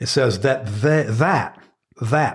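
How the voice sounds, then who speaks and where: Speaking at a very slow pace, the voice is somewhat breathy and its intonation is lively. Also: man. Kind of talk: sermon-like teaching conversation. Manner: earnest, teaching.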